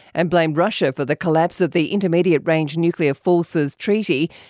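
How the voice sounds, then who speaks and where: In a very clean recording with a silent background, a woman with an Australian accent speaks in a fairly low pitch with a dark, mellow tone and ordinary pitch variation, the sound dry and close with no echo. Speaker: newsreader. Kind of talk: news reading. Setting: studio. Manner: formal, crisp, even-paced.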